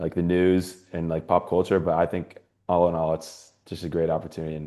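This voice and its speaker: A man with a Californian accent and a very deep, low pitch, dark, mellow tone, monotone, flat intonation and very fast pace, against a quiet background. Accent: Californian American. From US West Coast, San Francisco Bay Area. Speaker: university student. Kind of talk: panel discussion. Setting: webinar. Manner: halting, many fillers.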